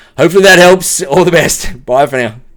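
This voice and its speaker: Speaking at a fairly quick pace, a man has an Australian accent. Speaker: tech professional giving client testimonial. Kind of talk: video testimonial. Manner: casual, many filler words.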